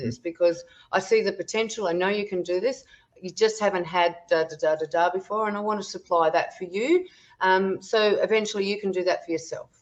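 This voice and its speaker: Talking at a fairly quick pace, a woman with an Australian accent shows ordinary pitch variation. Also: medium pitch for a woman. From Tasmania, Australia. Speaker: wellness educator and natural health therapist. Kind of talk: podcast interview answer. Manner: casual, chatty with fillers.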